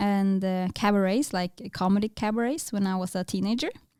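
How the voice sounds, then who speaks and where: A woman with a Norwegian accent speaks at a moderate pace in a medium pitch, her dark, mellow tone showing ordinary pitch variation in a dry, close recording with no echo. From northern Norway, Tromsø. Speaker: filmmaker. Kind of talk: interview. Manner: hesitant, many fillers.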